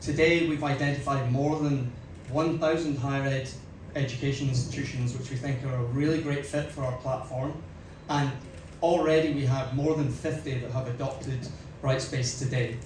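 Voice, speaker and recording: A man with a fairly high pitch speaks at a moderate pace in a monotone, flat intonation. Both background noise and room echo are noticeable. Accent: Scottish. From Scotland. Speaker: company executive. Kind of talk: press conference speech. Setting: stage with audience.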